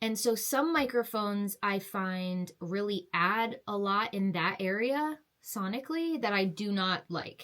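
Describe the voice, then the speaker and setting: A woman at a medium pitch talks at a fairly slow pace with lively intonation and hardly any pauses, in a very clean recording with a silent background. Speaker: vocalist and producer reviewing a microphone. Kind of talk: product review to camera. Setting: home office with curtain soundproofing. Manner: casual, conversational.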